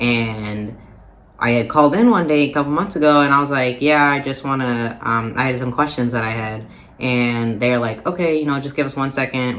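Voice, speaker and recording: A man with an American accent talks at a fairly quick pace and a medium pitch. Room echo is audible. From Minnesota, US Midwest. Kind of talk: casual vlog talk. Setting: recording away from home, visiting family. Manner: hesitant, many fillers.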